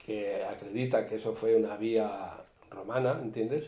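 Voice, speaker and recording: Audible room echo surrounds a man of medium pitch who speaks at a fairly slow pace. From Spain, Cuenca province (rural Castile-La Mancha). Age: 60s. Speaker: retired forest worker, local elder. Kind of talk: interview, casual reminiscing. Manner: animated, overlapping talk.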